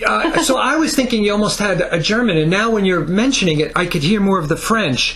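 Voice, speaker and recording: In a New Jersey accent, a man with a high-pitched voice talks at a fairly quick pace with hardly any pauses and very wide pitch swings, amid noticeable background noise and audible room echo. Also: very even loudness. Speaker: music interviewer. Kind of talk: interview.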